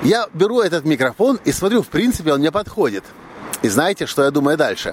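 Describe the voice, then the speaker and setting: Noticeable background noise sits behind a man whose pitch swings very widely as he talks at a moderate pace. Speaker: podcaster and video blogger. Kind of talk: solo vlog monologue.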